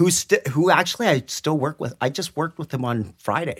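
A man with vocal fry talks at a fairly quick pace with very wide pitch swings, on a very clean recording with a silent background. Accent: Western Canadian. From Greater Vancouver, Canada. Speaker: special effects technician. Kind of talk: casual interview. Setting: small room at a public library.

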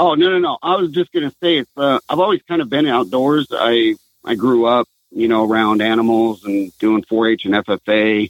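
In a normal speaking voice, a man with an American accent speaks at a moderate pace and medium pitch, with lively intonation and very even loudness. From Southern California. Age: 40s. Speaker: retired military veteran, outdoors brand founder. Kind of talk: interview.

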